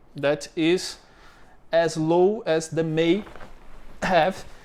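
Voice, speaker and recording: A man with a Brazilian accent speaks at a high pitch on a very clean recording with a silent background. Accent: Brazilian accent, non-native English. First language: Portuguese. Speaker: business owner explaining local bureaucracy. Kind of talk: tutorial. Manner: halting, many fillers.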